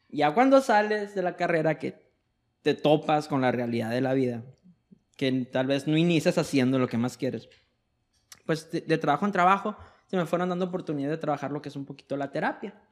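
A man's fairly high voice with ordinary pitch variation and long, frequent pauses. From Mexico, Sonora. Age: 20s. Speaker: psychologist. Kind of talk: casual chat.

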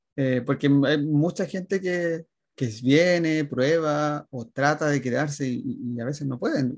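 A man talks in a somewhat breathy voice. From Chile, Viña del Mar area. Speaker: emigrant, designer and youtuber. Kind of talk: interview.

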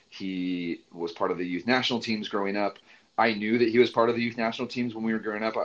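In an American accent, a man speaks at a medium pitch and a very fast pace. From Central Coast California, US. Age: 30s. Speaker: soccer coach educator and podcast host. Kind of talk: interview. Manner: animated.

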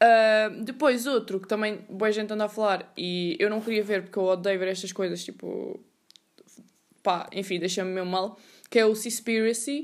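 A woman with a Lisbon accent speaks at a fairly high pitch with ordinary pitch variation and big swings in loudness. The recording is very clean, with a silent background. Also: moderate pace. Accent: European Portuguese, Lisbon area. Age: 20s. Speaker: podcast host, university student. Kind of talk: casual monologue. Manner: casual, slangy and rambling.

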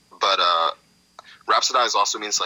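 There is noticeable background noise. Through it, a man with an American accent speaks at a fairly quick pace. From Los Angeles (Inglewood), US. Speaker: hip hop artist. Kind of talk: casual chat.

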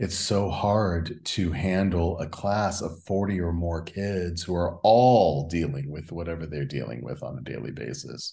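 In audible room echo, a man with a very deep, low pitch and a dark, mellow, somewhat breathy tone speaks at a fairly slow pace with lively intonation and hardly any pauses. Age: 50s. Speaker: podcast host. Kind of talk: interview.

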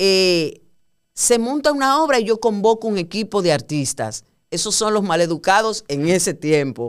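In a Dominican accent, a woman speaks at a moderate pace with an animated tone. Her medium-pitched voice makes very wide pitch swings. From Dominican Republic, Puerto Plata. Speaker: theatre director and actress. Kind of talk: casual interview.

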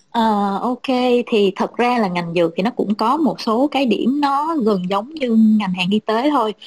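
A woman speaks with lively intonation and very even loudness, her somewhat breathy voice caught in a dry, close sound with no echo. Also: fairly high pitch for a woman, moderate pace. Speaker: pharma marketing professional. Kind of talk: panel discussion. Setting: video call.

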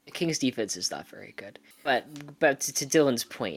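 A man speaks at a moderate pace with vocal fry. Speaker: basketball podcast co-host. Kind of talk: casual chat. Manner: animated.

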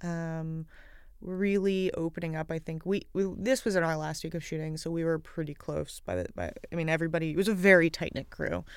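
Delivered at a fairly quick pace with fairly even intonation, an unremarkable speaking voice comes through on a very clean recording with a silent background. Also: woman, fairly low pitch for a woman. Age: 30s. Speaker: screenwriter. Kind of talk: film commentary.

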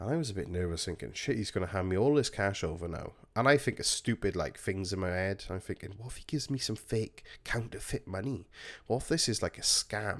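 A man with an English accent talks at a fairly quick pace with lively intonation in a very clean recording with a silent background. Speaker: podcast host and vape shop worker. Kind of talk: casual storytelling monologue. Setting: home recording on a squeaky chair.

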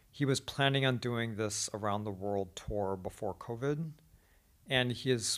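A man speaks with a normal speaking voice at medium pitch and a moderate pace. His pitch variation is ordinary, on a very clean recording with a silent background. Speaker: podcast host and teacher. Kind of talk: casual chat. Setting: Beijing, China.

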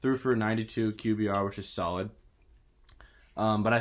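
A man's plain, everyday voice at a medium pitch and moderate pace, on a very clean recording with a silent background. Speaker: podcast host, college student. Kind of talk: casual sports podcast chat.

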